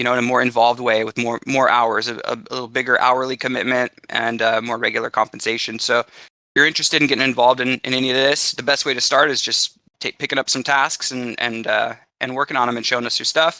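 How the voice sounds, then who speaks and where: A man's bright, sharp tone comes at a very fast pace in monotone, flat intonation, with a dry, close sound and no echo. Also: medium pitch for a man. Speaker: community manager of a crypto project. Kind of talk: community call presentation. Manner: many fillers and repetitions.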